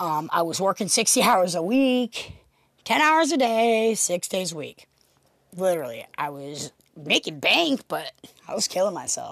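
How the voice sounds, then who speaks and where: At a moderate pace, a woman with an American accent speaks with very wide pitch swings. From Pennsylvania. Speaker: podcaster, former construction foreman. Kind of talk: casual monologue. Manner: hesitant, many fillers.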